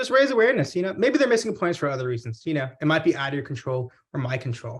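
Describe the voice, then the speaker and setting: In an American accent, a man talks at a very fast pace with lively intonation. His pitch is fairly high, and his voice is somewhat breathy. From Texas, Houston. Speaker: pharmacist and business owner. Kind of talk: webinar presentation Q&A. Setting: video call.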